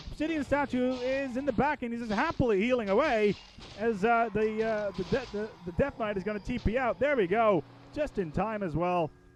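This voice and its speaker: A high-pitched man talks at a fairly quick pace with ordinary pitch variation, with noticeable background noise behind him. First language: not English. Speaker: game commentator. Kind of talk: live commentary. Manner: animated.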